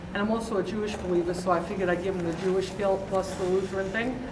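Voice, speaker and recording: Amid noticeable background noise and audible room echo, a woman talks at a very fast pace with medium pitch and monotone, flat intonation. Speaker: audience member, church stewardship chair. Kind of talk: audience question. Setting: church seminar, no microphone. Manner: loud.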